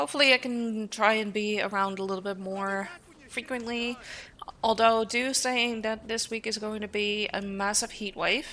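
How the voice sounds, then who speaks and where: A woman in a Dutch accent with fairly even intonation. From Netherlands. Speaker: streamer. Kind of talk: casual live-stream chat. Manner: hesitant with many fillers.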